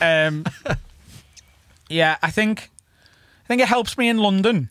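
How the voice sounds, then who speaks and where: A strong Scouse accent with lively intonation and very even loudness, the sound dry and close with no echo. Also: man, high pitch for a man. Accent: thick Scouse. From Liverpool, England. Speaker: stand-up comedian. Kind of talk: casual chat. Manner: fast.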